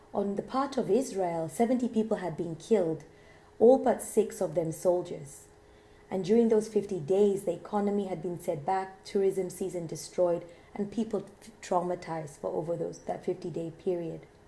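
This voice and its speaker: A dark, mellow, somewhat breathy voice in an East African accent, at a moderate pace with ordinary pitch variation and audible room echo. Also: woman, medium pitch for a woman. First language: Swahili. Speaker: lecturer. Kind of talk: lecture. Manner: halting at times.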